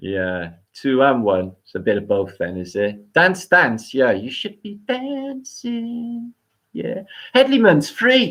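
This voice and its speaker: The speaker has a Welsh accent. The pace is very slow. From Wales. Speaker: live stream host. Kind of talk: live stream chat with viewers. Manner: slurred, sounds drunk.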